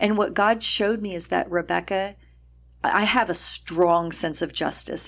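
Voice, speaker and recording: A woman speaks in an American accent with a fairly low pitch. Vocal fry runs through her voice. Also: very clean recording, silent background. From El Paso, Texas. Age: 50s. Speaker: nonprofit founder and ministry leader. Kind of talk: interview conversation.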